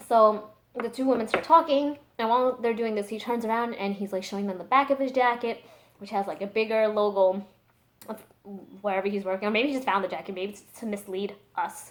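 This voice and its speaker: A loud woman's voice, fairly high in pitch, with ordinary pitch variation. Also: fairly quick pace. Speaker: streamer. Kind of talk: casual storytelling vlog. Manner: fast, filler-heavy.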